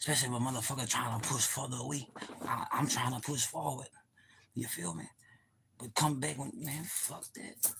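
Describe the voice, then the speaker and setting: A man's animated, bright, sharp voice at medium pitch, with ordinary pitch variation, vocal fry, a fairly quick pace and long, frequent pauses. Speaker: live streamer. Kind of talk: casual livestream monologue. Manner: fast.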